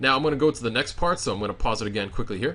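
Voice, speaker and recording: Bright, sharp tone in a man's voice. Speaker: gaming YouTuber. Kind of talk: tutorial. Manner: casual, filler-heavy; stuttering today.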